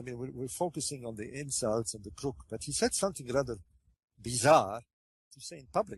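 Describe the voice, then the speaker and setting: The voice is somewhat breathy, with lively intonation. It moves at a fairly quick pace. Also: man. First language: French. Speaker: author on ancient Egypt. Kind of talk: interview. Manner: halting, many fillers.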